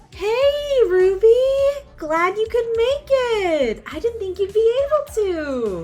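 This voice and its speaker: A woman puts on a squeaky character voice at an extremely high pitch. She talks at a fairly slow pace while faint music plays in the background. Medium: audio drama. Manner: chatty, expressive.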